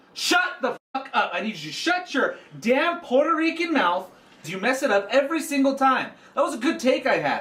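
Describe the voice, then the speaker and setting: The voice moves at a moderate pace with lively intonation, over noticeable background noise. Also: man, extremely high pitch for a man. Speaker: comedy podcast co-host. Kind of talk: casual comedic chat. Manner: loud, mock-angry ranting.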